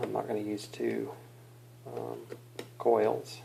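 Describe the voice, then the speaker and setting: A man speaks at a fairly slow pace, his voice carrying audible room echo amid noticeable background noise. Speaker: vaping hobbyist video maker. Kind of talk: tutorial. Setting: at home at night. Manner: quiet, subdued; casual, hesitant with fillers.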